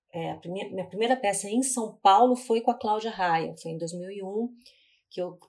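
Recorded very cleanly against a silent background, a woman talks at a moderate pace and medium pitch with ordinary pitch variation. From Brazil, Curitiba. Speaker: actress, singer and playwright. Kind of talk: casual interview.

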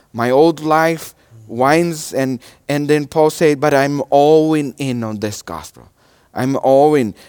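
This man speaks at a very slow pace in a Portuguese accent. His pitch varies in an ordinary way. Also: fairly high pitch for a man, very clean recording, silent background. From Brazil. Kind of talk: sermon. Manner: halting.

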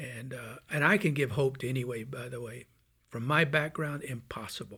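A man with an American accent speaks at a medium pitch. His tone is bright and sharp. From US South, Birmingham, Alabama. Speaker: Marine veteran, missionary. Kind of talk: casual chat. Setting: studio.

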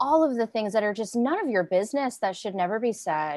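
The recording is very clean and the background silent. A woman talks in a Southern US accent. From Arkansas, US South. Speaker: violence prevention strategist and public speaker. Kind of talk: panel discussion.

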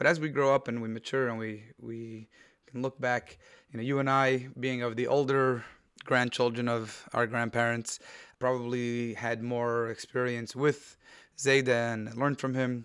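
Over a silent background in a very clean recording, a man talks at a moderate pace in a flat, monotone voice of medium pitch. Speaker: rabbi. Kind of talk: casual chat.

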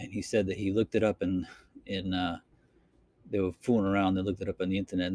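A man with a Boston accent and a fairly low pitch is heard in a dry, close sound with no echo. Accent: Boston accent, drops R's. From Boston, Massachusetts. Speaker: podcaster. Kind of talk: casual solo monologue podcast. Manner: casual, rambling, with filler words.

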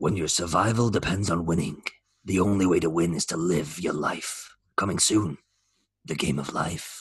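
A man speaks in a put-on character voice with a very deep, low pitch. His pace is moderate and his intonation fairly even. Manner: dramatic, epic.

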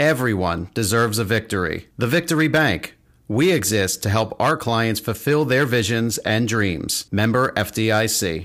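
On a very clean recording with a silent background, a man with an unremarkable speaking voice talks fairly slowly at medium pitch, with very even loudness and hardly any pauses. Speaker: business podcast host. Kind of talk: casual interview chat. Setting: recorded in an office.

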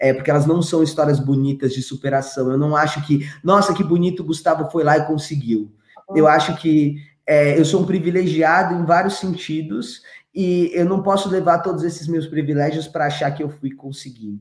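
Here a man with a normal speaking voice talks at a moderate pace and fairly high pitch with ordinary pitch variation. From São Paulo, Brazil (Grajaú). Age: 30s. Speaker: tech education entrepreneur. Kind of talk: interview.

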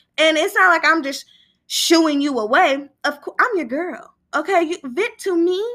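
On a very clean recording with a silent background, a woman with an American accent speaks at a moderate pace in an animated tone, her raised, projected voice bright and sharp at an extremely high pitch with ordinary pitch variation. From Northern California, East Sacramento. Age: 20s. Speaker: podcast host. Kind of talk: casual solo talk. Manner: animated, laughing often.

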